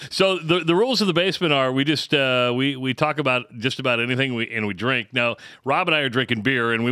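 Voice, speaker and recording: A man talks at a very fast pace in a bright, sharp tone with lively intonation, on a very clean recording with a silent background. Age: 50s. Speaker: podcast host. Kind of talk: casual chat. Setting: basement studio.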